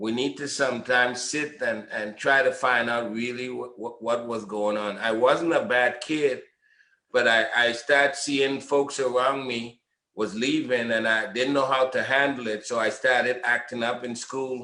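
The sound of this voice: Amid audible room echo, a man at medium pitch talks at a fairly slow pace with a bright, sharp tone and fairly even intonation.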